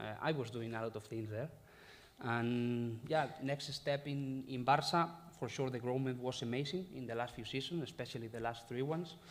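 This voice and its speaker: In a Spanish accent, a man of medium pitch talks at a moderate pace with ordinary pitch variation and audible room echo. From Spain, Galicia. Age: 30s. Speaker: football head coach. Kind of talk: press conference. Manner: halting.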